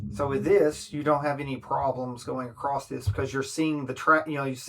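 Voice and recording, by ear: Fairly even intonation from a natural voice reading aloud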